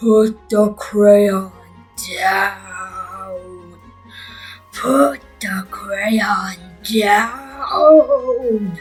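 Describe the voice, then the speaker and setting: Faint music plays in the background behind a put-on character voice with a fairly high pitch. The delivery is very slow, with long, frequent pauses. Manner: growling, menacing.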